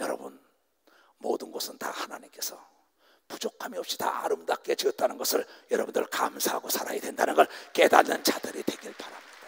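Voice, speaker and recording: Whispering at a fairly quick pace, a man's loudness swings widely in a dry, close sound with no echo. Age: 60s. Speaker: pastor. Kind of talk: sermon. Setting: stage with audience. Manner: animated.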